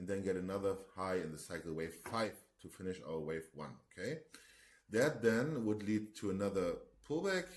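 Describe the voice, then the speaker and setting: A man with a German accent, fairly low pitch, lively intonation and moderate pace. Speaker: market analyst. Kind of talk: tutorial; casual chat. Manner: halting.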